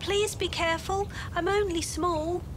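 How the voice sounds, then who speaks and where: This put-on character voice is squeaky, with an extremely high pitch and a moderate pace. Loud background noise runs underneath it. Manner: pleading, careful.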